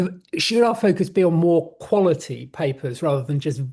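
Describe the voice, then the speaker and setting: Against a quiet background, a man speaks with a dark, mellow tone that is somewhat breathy. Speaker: webinar moderator. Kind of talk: panel discussion. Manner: halting.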